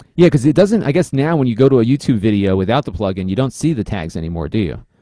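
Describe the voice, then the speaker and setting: With a dark, mellow tone at medium pitch, a man races along at a very fast pace while his pitch swings very widely. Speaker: podcast host and product reviewer. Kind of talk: casual chat.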